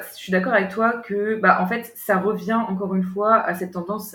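A woman's voice with audible room echo. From France, Paris region (Yvelines). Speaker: writer, guest. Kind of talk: casual interview conversation. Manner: hesitant, many fillers.

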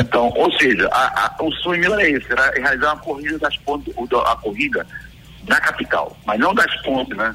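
With music playing behind him, a man talks at a moderate pace. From Pernambuco, Brazil (Bezerros). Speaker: retired Olympic runner, race organizer guest. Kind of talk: radio interview, casual chat. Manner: halting, repeats words.

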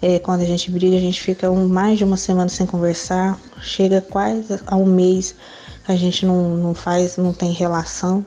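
At a moderate pace, a woman speaks with medium pitch. Her intonation is monotone and flat. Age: 20s. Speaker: listener asking for advice. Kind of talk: recorded question.

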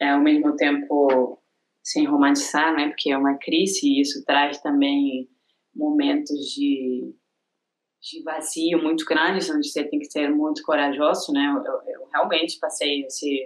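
This woman talks fairly slowly with an Argentine accent. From Argentina. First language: Spanish (speaking Portuguese). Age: 30s. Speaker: ceramics teacher. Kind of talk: casual interview chat.

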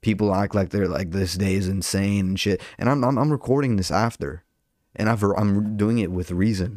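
A man at a fairly low pitch, with a moderate pace and ordinary pitch variation, on a very clean recording with a silent background. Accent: Southern California. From Southern California, Orange County. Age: 20s. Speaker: podcast host and stand-up comedian. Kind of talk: casual solo monologue. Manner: animated.

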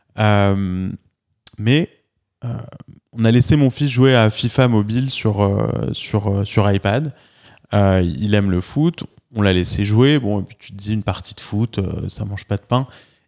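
At a very slow pace, a man with a fairly low pitch and ordinary pitch variation speaks with big swings in loudness, the sound dry and close with no echo. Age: 40s. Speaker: podcast host and entrepreneur. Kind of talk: interview. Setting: office.

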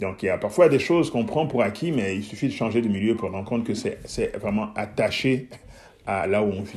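At a fairly quick pace, a somewhat breathy voice speaks with ordinary pitch variation. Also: man, medium pitch for a man. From Guinea, Switzerland and Mozambique (mixed childhood). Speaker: entrepreneur and mentor. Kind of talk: interview conversation.

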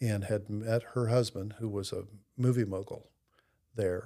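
A man's fairly low, dark, mellow voice with an American accent, monotone and flat in intonation, at a fairly slow pace, in a very clean recording with a silent background. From US Midwest (Columbus, Ohio). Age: 60s. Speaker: recovering alcoholic sharing his faith story. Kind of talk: casual interview, personal testimony. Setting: pastor's office.

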